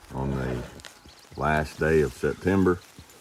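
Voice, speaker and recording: Against noticeable background noise, a man speaks at a very slow pace with ordinary pitch variation. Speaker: wrangler school instructor. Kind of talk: casual advice talk to camera. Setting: outdoors.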